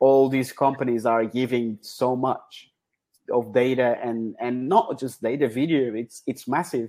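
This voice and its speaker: Speaking slowly with a Portuguese accent, a man has a medium pitch, a dark, mellow tone, and fairly even intonation. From Portugal. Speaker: football data scientist. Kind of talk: interview. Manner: hesitant with fillers.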